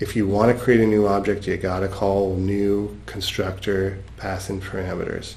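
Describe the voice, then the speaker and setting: Over noticeable background noise and audible room echo, a man speaks at a moderate pace and fairly low pitch, with fairly even intonation and hardly any pauses. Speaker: software instructor. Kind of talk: lecture. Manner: halting.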